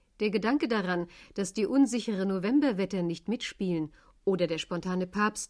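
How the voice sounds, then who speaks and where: At a moderate pace and with ordinary pitch variation, an unremarkable speaking voice is heard. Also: woman. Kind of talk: 1980 radio news report. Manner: formal, crisp, brisk broadcast narration.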